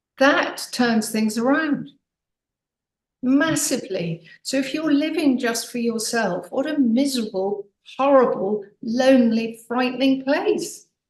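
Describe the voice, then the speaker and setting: Her high-pitched voice carries lively intonation as the woman speaks at a fairly slow pace. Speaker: author and podcast guest. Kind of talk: casual interview chat. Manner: animated.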